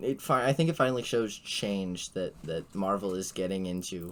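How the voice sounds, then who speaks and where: A man is speaking. He keeps a moderate pace. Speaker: podcast host. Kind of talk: casual chat. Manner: halting.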